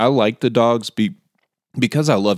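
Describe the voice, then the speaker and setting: A man talks with an unremarkable speaking voice at a moderate pace. His intonation is lively. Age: 30s. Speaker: podcast host. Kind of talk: casual chat.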